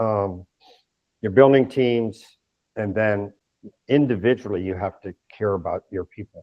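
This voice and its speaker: A man speaks fairly slowly at a fairly low pitch with ordinary pitch variation. His loudness swings widely, and he leaves long, frequent pauses. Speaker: retired army general. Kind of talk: interview.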